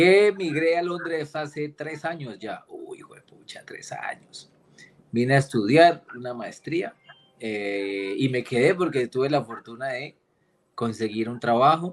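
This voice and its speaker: A man with a strong Cali accent, lively intonation, big swings in loudness, and a fairly slow pace. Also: fairly high pitch for a man. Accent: strong Cali accent, deliberately kept. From Colombia, Cali. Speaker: political risk analyst and geopolitics lecturer. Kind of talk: casual interview chat.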